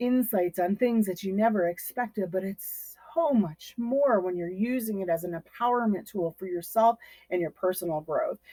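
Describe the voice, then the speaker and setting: There's no echo at all, just a dry, close sound. The woman's pitch rises and falls in an ordinary way. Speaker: tarot reader and energy healer. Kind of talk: casual talk-to-camera tutorial. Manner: fast; animated, improvised with fillers.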